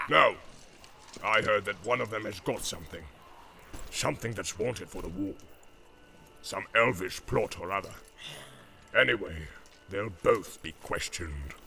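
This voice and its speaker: A man puts on a growling character voice, pitched fairly low, at a moderate pace. He leaves long, frequent pauses, and background noise is clearly audible. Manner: gruff, menacing.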